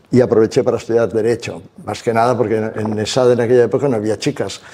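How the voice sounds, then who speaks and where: A man's very fast, monotone, flat delivery at medium pitch, dark and mellow in tone. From Spain, Barcelona (Catalonia). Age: 70s. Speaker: retired business executive and investor. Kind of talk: onstage interview.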